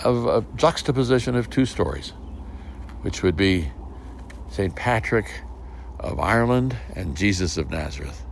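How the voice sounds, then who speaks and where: Against noticeable background noise, a man with a very deep, low pitch talks at a moderate pace, his pitch swinging very widely between long, frequent pauses. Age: 80s+. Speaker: storyteller, podcast host. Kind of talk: podcast introduction. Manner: warm storytelling.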